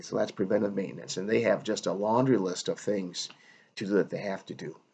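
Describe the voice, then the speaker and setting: A man speaks at a very fast pace in a fairly low voice. The background is quiet. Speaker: hospitality professor. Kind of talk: recorded lecture. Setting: solo video recording.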